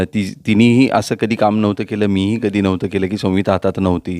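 Recorded dry and close with no echo, a man talks at a fairly low pitch in a normal speaking voice. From Pune, Maharashtra. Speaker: actor. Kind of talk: interview.

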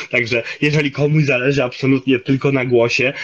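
A man's intonation stays monotone and flat while he talks at a fairly quick pace. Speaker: linguist and commentator; guest. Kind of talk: interview on voice. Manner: many filler hesitations. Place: home room. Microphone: video call.

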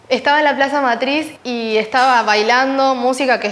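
A woman speaks in a high-pitched voice at a moderate pace. Her intonation is fairly even. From Uruguay. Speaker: ballet dancer. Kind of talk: interview. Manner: halting. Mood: warm, smiling, animated. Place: studio. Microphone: lapel.

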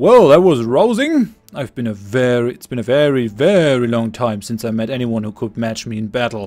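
A man in a booming, put-on character voice of medium pitch talks at a moderate pace with hardly any pauses. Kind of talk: reading game dialogue aloud. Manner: admiring, rousing.

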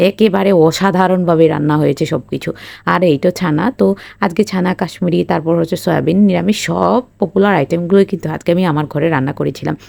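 With vocal fry in her voice, a woman speaks with ordinary pitch variation. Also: fairly low pitch for a woman. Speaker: cooking vlogger. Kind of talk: narrated cooking vlog.

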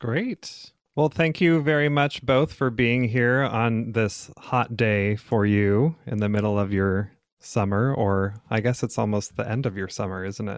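A plain, everyday voice speaks at a fairly slow pace with ordinary pitch variation against a quiet background. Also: man, medium pitch for a man. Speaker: podcast host and therapist. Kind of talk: interview.

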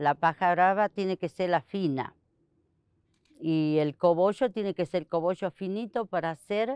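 A woman speaks at a fairly slow pace in a fairly low pitch with ordinary pitch variation. The sound is dry with no echo, against a quiet background. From Argentina, Santiago del Estero. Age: 60s. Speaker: basket weaver. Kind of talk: interview testimony. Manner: halting. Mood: calm, reflective. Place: garden.

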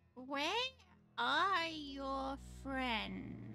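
This is a put-on character voice. It sounds female and sits high in pitch. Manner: curt, suspicious.

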